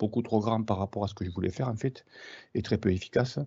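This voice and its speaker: A man speaks with ordinary pitch variation. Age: 60s. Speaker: market gardener. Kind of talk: webinar presentation. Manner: halting, many hesitations.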